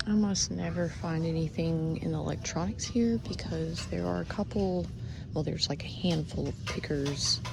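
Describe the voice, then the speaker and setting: Soft-spoken, a woman talks at a moderate pace with audible room echo. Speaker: thrift reseller vlogger. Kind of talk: casual vlog narration. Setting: in a thrift store. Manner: quiet, soft-spoken.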